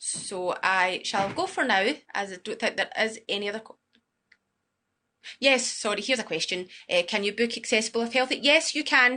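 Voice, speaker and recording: With a Glasgow accent, a woman speaks at a fairly high pitch and moderate pace, her tone bright and sharp. Her intonation is lively, broken by long, frequent pauses. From Scotland, Glasgow. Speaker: student accommodation sales supervisor. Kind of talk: guided property tour with live Q&A.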